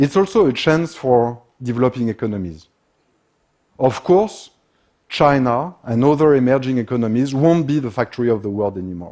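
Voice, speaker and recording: A man with a French accent talks at a moderate pace, his dark, mellow tone paired with lively intonation. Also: medium pitch for a man. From France. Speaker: business consultant. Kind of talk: conference talk.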